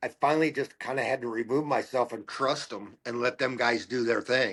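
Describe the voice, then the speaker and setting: Ordinary pitch variation comes at a moderate pace. The recording is very clean, with a silent background. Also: man. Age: 60s. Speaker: racing crew chief and car owner. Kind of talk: casual chat. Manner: halting, many fillers and repeated words.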